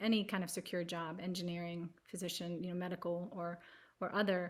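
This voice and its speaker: Here a woman speaks with an American accent at a fairly quick pace. Her intonation is monotone and flat. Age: 40s. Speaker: palliative care advocate. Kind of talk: panel discussion.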